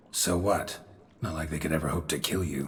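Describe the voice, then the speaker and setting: Putting on a character voice, a man speaks in a raspy, very deep, low pitch at a fairly quick pace. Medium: video game. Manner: terse, gruff.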